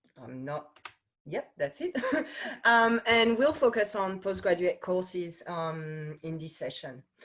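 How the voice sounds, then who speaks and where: A woman speaks very slowly with a French accent in a medium-pitched voice. Her pitch swings very widely and her loudness rises and falls sharply. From France. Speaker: course director, wine science researcher. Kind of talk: information webinar presentation. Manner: hesitant, many fillers.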